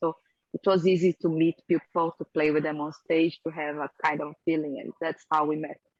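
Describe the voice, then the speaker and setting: A woman with a Portuguese accent talks at a moderate pace, her pitch fairly low and her intonation fairly even. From Brazil. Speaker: rock band singer. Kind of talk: interview. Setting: video call.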